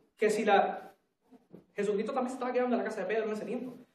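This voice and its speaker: A man speaks at a high pitch with ordinary pitch variation. There is audible room echo. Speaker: preacher. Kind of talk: sermon. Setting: church.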